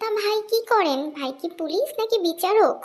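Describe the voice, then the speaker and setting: The pace is fairly slow. A cartoonish character voice does the talking. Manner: cheeky, comic.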